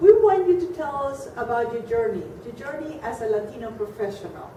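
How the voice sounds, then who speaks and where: A high-pitched woman speaks at a moderate pace with very wide pitch swings and big swings in loudness, over noticeable background noise. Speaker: interviewer. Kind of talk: interview questions.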